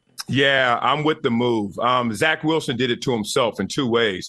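Ordinary pitch variation in a plain, everyday voice belonging to a man. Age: 40s. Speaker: former NFL player, sports commentator. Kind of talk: radio interview.

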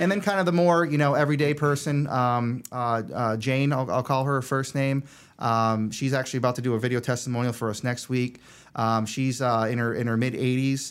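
Fairly quick and very even in loudness, a man with an American accent and an unremarkable speaking voice speaks at medium pitch with ordinary pitch variation, in a very clean recording with a silent background. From Vermont, US. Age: 40s. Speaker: clinic operations director. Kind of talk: casual interview.

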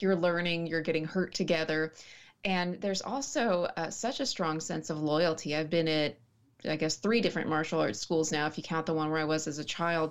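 A woman talks at a moderate pace in an ordinary speaking voice. Her pitch is fairly low, with ordinary pitch variation. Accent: American. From West Texas, small town. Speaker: writer and martial artist. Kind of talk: casual interview chat.

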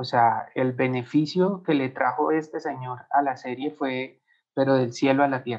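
At a fairly slow pace, a man with a Bogotá accent talks in a medium pitch with fairly even intonation. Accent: Bogotá Colombian Spanish. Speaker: animation studio co-founder. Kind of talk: interview testimony.

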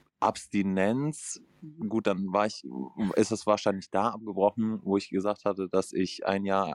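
On a very clean recording with a silent background and a dry, close sound with no echo, a man in a normal speaking voice talks at a fairly slow pace and fairly low pitch. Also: ordinary pitch variation. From northern Germany. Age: 20s. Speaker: recovering gambling addict. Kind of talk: self-help group conversation.

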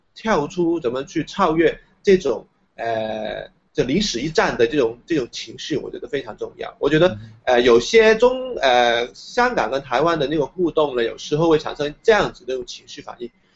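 Speaking at a fairly quick pace with a Hong Kong accent, the voice makes very wide pitch swings and big swings in loudness. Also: man, fairly high pitch for a man. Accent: Hong Kong Cantonese-accented Mandarin. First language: Cantonese (speaking Chinese). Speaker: independent media founder and university lecturer. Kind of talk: interview. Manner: hesitant, many filler sounds.

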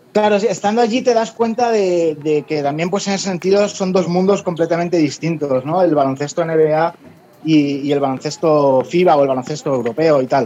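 Against noticeable background noise, a man speaks with lively intonation at a high pitch. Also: moderate pace. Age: 40s. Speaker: sports journalist. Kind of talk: podcast interview.

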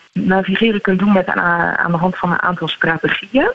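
A woman speaks over noticeable background noise. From Netherlands. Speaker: neuropsychologist. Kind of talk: radio interview.

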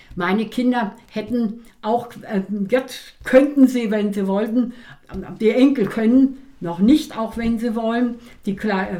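This woman's voice has a fairly high pitch and a dark, mellow tone. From East Germany. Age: 80s+. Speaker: stock market expert and author, retired teacher. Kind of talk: interview. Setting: at her home.

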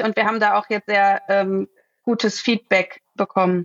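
Very slow, medium-pitched speech from a woman, with ordinary pitch variation. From Ruhr area, Germany (Herne). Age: 30s. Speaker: startup founder. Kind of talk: podcast interview.

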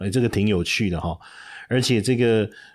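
A man's fairly low voice in a Taiwanese accent, with lively intonation and a very clean recording over a silent background. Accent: Taiwanese Mandarin. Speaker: stock market podcast host, finance professor. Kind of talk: casual market commentary. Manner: chatty, many filler particles.

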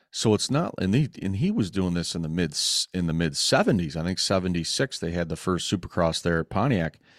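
Speaking in an American accent, a male voice sits at a very deep, low pitch. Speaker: motorcycle club founder and documentary maker. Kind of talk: casual interview chat.

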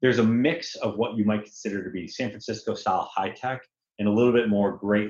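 A man's fairly low-pitched, ordinary speaking voice with an American accent, fairly even intonation and a fairly quick pace. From US Northeast, Connecticut. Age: 40s. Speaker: tech executive. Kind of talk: interview.

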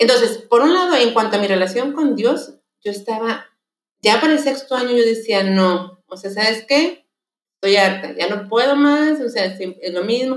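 A woman with a plain, everyday voice, fairly high in pitch, lively in intonation, at a moderate pace. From Mexico. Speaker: lay missionary. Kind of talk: testimony.

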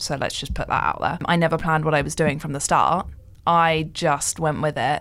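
A woman speaks with a very deep, low pitch and vocal fry at a moderate pace. Her intonation stays monotone and flat. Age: 20s. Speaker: podcaster and social media business owner. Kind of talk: casual chat.

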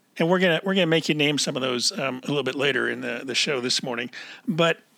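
A man with an American accent speaks in a bright, sharp tone with vocal fry and ordinary pitch variation, on a very clean recording with a silent background. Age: 60s. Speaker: podcast host. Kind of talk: casual interview.

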